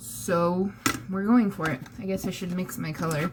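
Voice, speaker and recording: Noticeable background noise under a woman's voice, fairly low in pitch. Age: 20s. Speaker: vlogger. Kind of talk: casual vlog.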